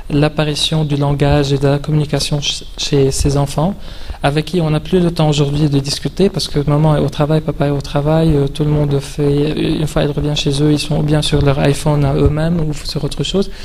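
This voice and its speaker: A man with a non-native accent speaks at a moderate pace in a fairly high voice, his loudness very even and his intonation flat and monotone. The room echo is audible, and there is noticeable noise in the background. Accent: foreign accent in French. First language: not French (speaking French). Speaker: video game specialist, speaker. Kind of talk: conference talk. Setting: conference hall with audience, standing. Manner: halting, many hesitations.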